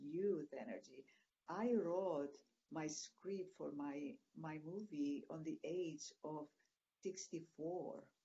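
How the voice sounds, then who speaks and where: A woman's fairly low voice with lively intonation and a Greek accent. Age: 60s. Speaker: retreat producer. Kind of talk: interview. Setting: video call. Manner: halting.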